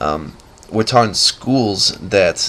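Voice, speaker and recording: A man with an American accent and a fairly low pitch, over noticeable background noise. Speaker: amateur video blogger. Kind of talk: casual monologue. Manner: unscripted, halting with fillers.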